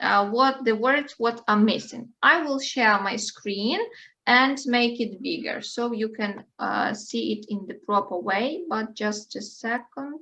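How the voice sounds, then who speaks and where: Very slow speech with ordinary pitch variation, in a Ukrainian accent. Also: woman, fairly high pitch for a woman. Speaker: English teacher. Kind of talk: online language lesson. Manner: halting.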